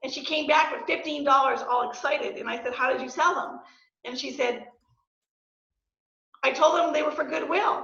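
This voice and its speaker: A woman speaks in a high, raised and projected voice at a moderate pace, with ordinary pitch variation, long and frequent pauses, and audible room echo. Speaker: real estate agent and entrepreneur. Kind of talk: guest talk to student club. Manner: hesitant, many fillers.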